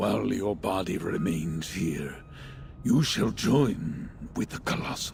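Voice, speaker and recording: A man performs a put-on character voice at a fairly slow pace. Background noise is clearly audible. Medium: video game. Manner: solemn, deliberate.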